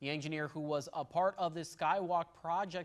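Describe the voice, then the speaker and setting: This man has an ordinary speaking voice at a fairly high pitch. He talks at a moderate pace with an American accent. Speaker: television news reporter and fill-in anchor. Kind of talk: local TV newscast read. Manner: clear, professional, brisk.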